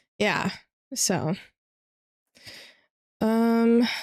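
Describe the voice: Speaking at a very slow pace, a woman has a fairly high pitch and a slightly mellow tone. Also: ordinary pitch variation.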